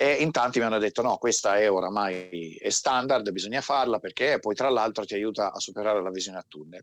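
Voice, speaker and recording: A man talks at a fairly quick pace with hardly any pauses, his fairly low voice showing ordinary pitch variation in an unremarkable speaking voice. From Turin, northern Italy. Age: 40s. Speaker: military veteran. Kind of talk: interview.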